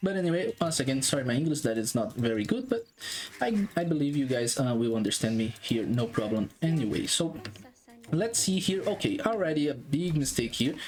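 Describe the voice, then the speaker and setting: The speaker talks at a fairly quick pace with a non-native accent. Noticeable background noise runs underneath. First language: not English. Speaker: game analyst YouTuber. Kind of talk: gameplay analysis commentary. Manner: halting, many fillers.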